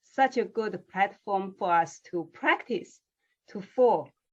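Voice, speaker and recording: Speaking very slowly with a non-native accent, a woman uses lively intonation. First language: not English. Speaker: interviewer. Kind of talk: interview.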